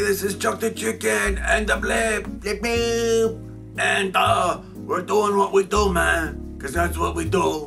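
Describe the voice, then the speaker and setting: Clear music plays in the background. A man does a cartoonish character voice at a fairly slow pace. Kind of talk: comic puppet show. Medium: puppet show. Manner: laid-back, hip slang, ends lines with "man".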